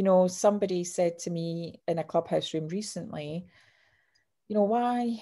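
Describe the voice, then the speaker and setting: With a Scottish accent, a woman speaks in a dark, mellow tone at medium pitch with ordinary pitch variation, on a very clean recording with a silent background. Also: moderate pace. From Scotland, Clydebank. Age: 50s. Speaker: author and sales coach. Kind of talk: interview. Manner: animated.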